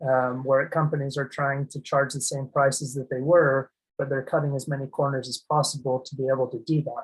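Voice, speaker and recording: A man's fairly high, somewhat breathy voice at a moderate pace, in a monotone, flat intonation. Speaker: asset protection and tax planning advisor. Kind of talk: webinar presentation. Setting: online webinar. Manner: hesitant, many fillers and restarts.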